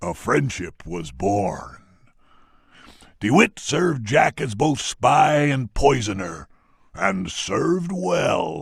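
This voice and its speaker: Putting on a character voice, a man talks at a medium pitch and a very slow pace. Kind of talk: ceremonial roll-call narration. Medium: video game. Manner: dramatic, relishing.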